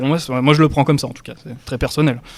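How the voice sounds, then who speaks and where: With a normal speaking voice, a man gets his words out at a fairly quick pace. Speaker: podcast host. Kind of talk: casual podcast talk.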